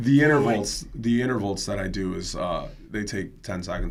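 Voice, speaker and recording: A man's voice is heard with audible room echo. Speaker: fitness instructor. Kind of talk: casual chat. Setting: live stream. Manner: loud.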